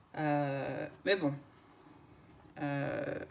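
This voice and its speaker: A woman's voice over noticeable background noise. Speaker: craft YouTuber. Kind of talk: unboxing video. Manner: hesitant, many filler words.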